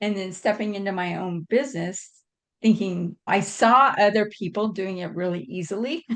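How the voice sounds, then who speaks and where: A woman's plain, everyday voice at a medium pitch, with ordinary pitch variation and a moderate pace. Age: 60s. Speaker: leadership coach. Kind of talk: interview.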